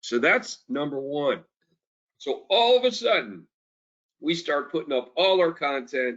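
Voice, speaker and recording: Loud and animated, the voice makes very wide pitch swings and leaves long, frequent pauses. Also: man, fairly high pitch for a man, fairly slow pace. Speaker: company executive. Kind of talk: investor briefing. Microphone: switched off headset mic, speaking without it.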